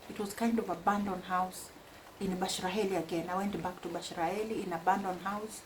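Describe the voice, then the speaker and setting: With noticeable background noise behind her, a woman speaks at a moderate pace and medium pitch with fairly even intonation. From Kenya (Mombasa). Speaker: vlogger. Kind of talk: casual personal storytelling.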